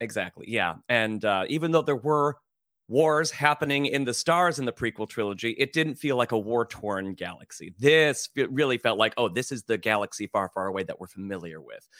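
Recorded very cleanly against a silent background, with a dry, close sound and no echo, a man talks at a fairly quick pace and medium pitch with lively intonation. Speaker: drag performer. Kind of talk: casual chat. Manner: halting.

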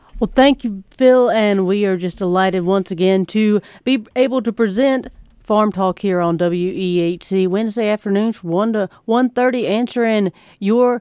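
A woman with a plain, everyday voice speaks at a medium pitch and a fairly slow pace with ordinary pitch variation, in a very clean recording with a silent background and a dry, close sound with no echo. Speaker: radio announcer. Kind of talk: radio announcement. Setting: radio studio.

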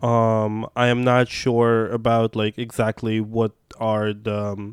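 A man's medium-pitched voice, very slow and monotone, with a dry, close sound and no echo. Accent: Russian. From Russia, Moscow. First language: Russian. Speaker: activist. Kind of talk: casual chat.

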